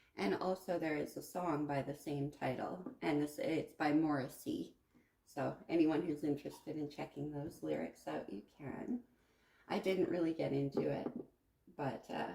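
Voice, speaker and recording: A soft-spoken woman talks at a moderate pace. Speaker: tarot reader. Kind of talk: tarot reading monologue. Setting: at home at a card table.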